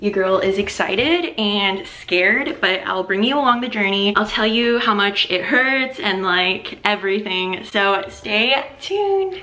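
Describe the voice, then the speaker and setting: With hardly any pauses, a woman speaks at a fairly slow pace in a medium pitch with ordinary pitch variation, over noticeable background noise. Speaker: lifestyle vlogger. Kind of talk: casual vlog. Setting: in a car. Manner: shaky.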